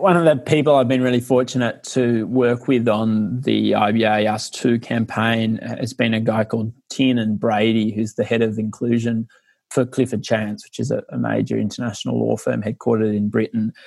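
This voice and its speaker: Here a man speaks with an Australian accent at a medium pitch. He leaves hardly any pauses. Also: fairly even intonation, moderate pace. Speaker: lawyer and researcher. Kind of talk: interview.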